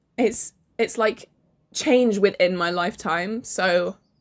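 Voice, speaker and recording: A woman with an English accent uses ordinary pitch variation in a very clean recording with a silent background. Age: 18. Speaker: vlogger. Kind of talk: casual chat.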